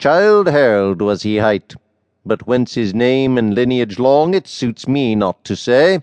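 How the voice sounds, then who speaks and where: With a dry, close sound and no echo, a man uses an unremarkable speaking voice at medium pitch, with lively intonation and a fairly slow pace. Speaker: audiobook narrator. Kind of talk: poetry reading aloud, audiobook narration of archaic verse. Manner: measured, formal, steady rhythmic delivery.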